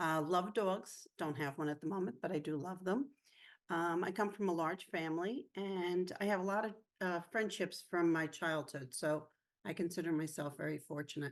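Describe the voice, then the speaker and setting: A woman with an ordinary speaking voice talks at a moderate pace, her fairly low pitch showing ordinary variation over a quiet background. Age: 50s. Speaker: mental health peer presenter. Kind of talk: personal testimony.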